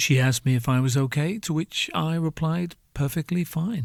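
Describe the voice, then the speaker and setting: Against a silent background in a very clean recording, a man speaks somewhat breathily at a moderate pace with ordinary pitch variation. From northern England. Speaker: podcast host. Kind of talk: comedic monologue. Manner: animated.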